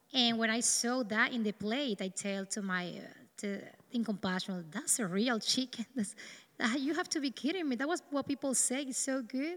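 In a Dominican accent, a woman speaks with a bright, sharp tone, fairly high pitch and ordinary pitch variation. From Dominican Republic. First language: Spanish. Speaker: neurosurgeon. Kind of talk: testimony.

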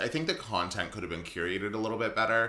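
A man with a medium-pitched voice speaks at a very fast pace. Background noise is noticeable. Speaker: podcast host. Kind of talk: casual chat over wine. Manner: bantering, interrupts often.

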